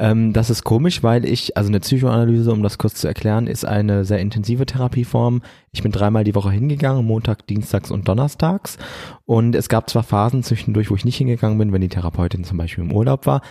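In a very clean recording with a silent background, a man with a medium-pitched voice and a dark, mellow tone speaks at a very fast pace. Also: ordinary pitch variation. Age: 30s. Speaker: podcast co-host. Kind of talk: casual chat.

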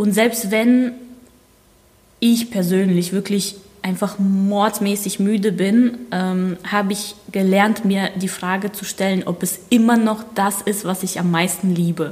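A woman talks very slowly, her medium pitch holding fairly even intonation. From Germany, born in Ukraine. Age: 20s. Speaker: ballroom dancer and dance coach. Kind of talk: interview.

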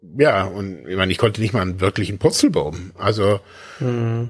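Here a man speaks at medium pitch and a moderate pace, with ordinary pitch variation. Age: 40s. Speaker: podcast co-host, recovering addict. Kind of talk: casual chat. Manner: halting.

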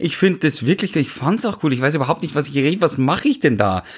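A man with vocal fry talks at a fairly quick pace on a very clean recording with a silent background. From rural Upper Bavaria. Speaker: podcast co-host. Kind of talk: casual chat.

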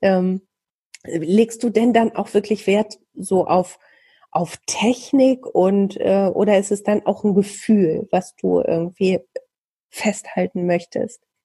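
A somewhat breathy, dark, mellow tone moves at a very slow pace with fairly even intonation and very even loudness. The sound is dry and close with no echo. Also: woman, medium pitch for a woman. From Bielefeld, Germany. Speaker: podcast host, radio worker. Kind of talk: casual interview.

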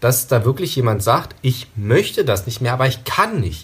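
A man's somewhat breathy voice at medium pitch, with very wide pitch swings, at a moderate pace. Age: 30s. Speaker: media psychologist. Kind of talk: casual chat.

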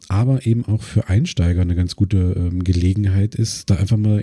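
A dark, mellow, somewhat breathy tone in a dry, close sound with no echo. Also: man. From Brandenburg, eastern Germany (Cottbus). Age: 30s. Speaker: podcast host and photographer. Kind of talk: solo podcast monologue.

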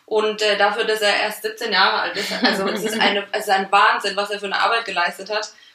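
A woman talks at a very fast pace with hardly any pauses, medium in pitch and monotone, flat in intonation. Noticeable background noise runs behind her. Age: 20s. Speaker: logistics worker and project initiator. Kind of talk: casual interview. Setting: studio, in person.

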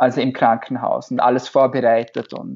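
Here a man with a plain, everyday voice speaks at medium pitch and a moderate pace. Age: 20s. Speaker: nurse. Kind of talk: interview.

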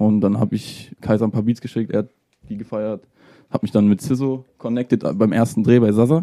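A man with an ordinary speaking voice and a medium pitch speaks with fairly even intonation, the sound dry and close with no echo. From Salzgitter, Lower Saxony. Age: young. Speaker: music producer. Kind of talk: casual radio interview. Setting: radio studio.

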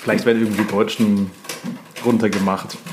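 A man with a medium pitch talks while noticeable background noise carries on behind him. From Germany. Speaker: podcast co-host. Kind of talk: casual chat.

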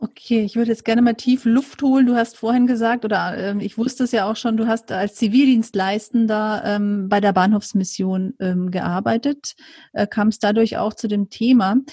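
This woman's fairly high voice has a dark, mellow tone and a somewhat breathy quality, recorded dry and close with no echo. She keeps a moderate pace and fairly even intonation. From rural Germany, farming family. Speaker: podcast host, writer and journalist. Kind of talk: interview conversation.

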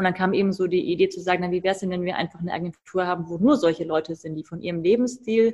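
A woman talks at a very fast pace. Her fairly low voice shows ordinary pitch variation. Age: 30s. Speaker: fashion photographer and model agency founder. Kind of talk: podcast interview.

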